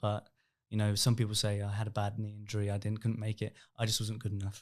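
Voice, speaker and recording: Very fast, mumbled speech with an English accent and monotone, flat intonation, on a very clean recording with a silent background. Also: man, fairly low pitch for a man. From England, Reading. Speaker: youth football coach. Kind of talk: podcast interview. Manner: mumbling.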